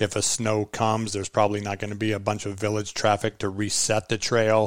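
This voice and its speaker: A man's fairly low voice with an American accent, monotone and flat, on a very clean recording with a silent background. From Iowa. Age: 50s. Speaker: endurance fat-bike racer. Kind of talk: casual chat. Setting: home kitchen.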